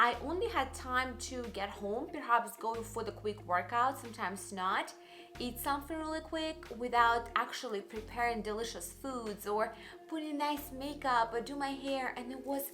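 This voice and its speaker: With music playing in the background and audible room echo, a woman talks at a moderate pace in a high-pitched voice with lively intonation. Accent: Russian. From Russia. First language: Russian. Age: young. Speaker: YouTuber and life coach. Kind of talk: personal vlog monologue.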